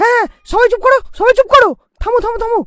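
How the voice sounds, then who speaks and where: A put-on character voice speaks at an extremely high pitch and a fairly quick pace. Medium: comedy sketch. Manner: commanding.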